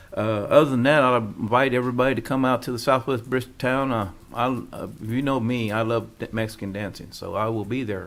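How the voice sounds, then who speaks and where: Hardly pausing, a man with a medium pitch talks at a fairly quick pace with fairly even intonation, and the room echo is audible. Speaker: mayor. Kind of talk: council meeting report. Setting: city council meeting. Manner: stuttering.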